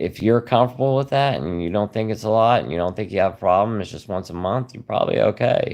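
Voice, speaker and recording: A man's relaxed, fairly low-pitched voice with a Southern US accent. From South Carolina. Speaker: YouTuber sharing liver disease recovery. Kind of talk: livestream chat reading comments. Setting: live stream. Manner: relaxed, hesitant with fillers.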